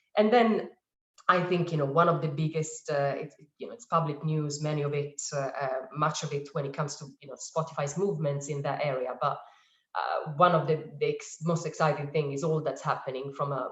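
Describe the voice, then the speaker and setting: A woman with an Italian accent speaks in a very deep, low pitch and a somewhat breathy voice. Her intonation stays fairly even while her loudness swings widely. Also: fairly quick pace. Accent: Italian, noticeable. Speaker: advertising industry panelist. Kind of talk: webinar panel discussion. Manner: hesitant, many fillers.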